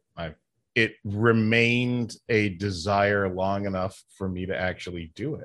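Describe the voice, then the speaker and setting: At a fairly slow pace, the speaker uses an ordinary speaking voice with a Canadian accent and fairly even intonation. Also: man, fairly low pitch for a man. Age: 50s. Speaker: podcast host and professional wrestler. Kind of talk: casual chat.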